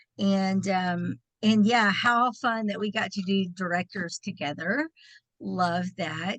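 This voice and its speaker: A woman with a Texan accent at a very slow pace, medium pitch and ordinary pitch variation, in a dry, close sound with no echo and a quiet background. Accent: Texan twang. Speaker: direct sales director. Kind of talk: personal testimony.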